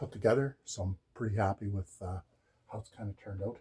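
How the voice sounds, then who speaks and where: A somewhat breathy, dark, mellow voice at a moderate pace with fairly even intonation, in a dry, close sound with no echo. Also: man. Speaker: DIY woodworking vlogger. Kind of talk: casual tutorial. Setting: at home. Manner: hesitant, many fillers.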